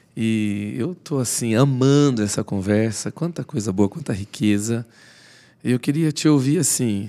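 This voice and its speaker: At a fairly slow pace, a man with a dark, mellow tone speaks at a medium pitch with ordinary variation. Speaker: podcast host. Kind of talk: interview.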